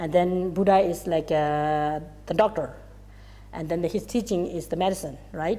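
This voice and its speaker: Through a very clean recording with a silent background, a woman with a non-native accent speaks at a fairly slow pace, her fairly low pitch carrying a dark, mellow tone and vocal fry. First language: Tibetan. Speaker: Buddhist teacher. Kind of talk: dharma teaching. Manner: halting.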